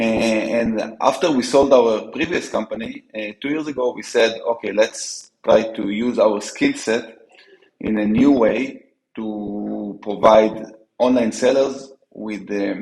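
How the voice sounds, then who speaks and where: A man's medium-pitched voice in an Israeli accent, very slow, with fairly even intonation and big swings in loudness. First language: Hebrew. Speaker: startup co-founder. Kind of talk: interview. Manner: halting, many fillers and restarts.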